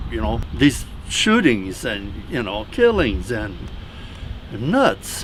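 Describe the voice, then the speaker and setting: The speaker talks at a very slow pace with an American accent. Audible room echo and noticeable background noise are present. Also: man. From southern Minnesota. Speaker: local resident. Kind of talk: casual interview. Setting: outdoors.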